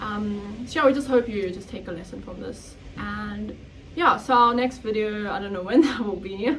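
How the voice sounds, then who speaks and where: Amid noticeable background noise and audible room echo, a woman talks at a moderate pace with a medium pitch. Her pitch variation is ordinary, but her loudness swings widely. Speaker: podcast co-host. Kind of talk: casual chat.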